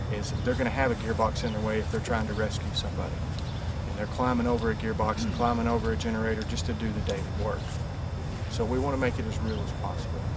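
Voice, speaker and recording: The speech moves at a very fast pace. Loud background noise fills the dry sound with no echo. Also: man. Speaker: wind energy instructor. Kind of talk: interview answer. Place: open country.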